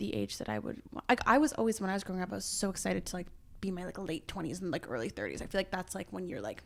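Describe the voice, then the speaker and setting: Speaking at a very fast pace, a woman with a Canadian accent sounds animated. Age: 20s. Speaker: podcast host. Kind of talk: casual chat.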